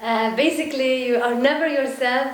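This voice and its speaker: A woman's pitch swings very widely, with audible room echo and noticeable background noise. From Syria and Palestine, moved between countries as a child. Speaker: actress and theater director. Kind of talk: interview. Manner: reflective, with hesitations.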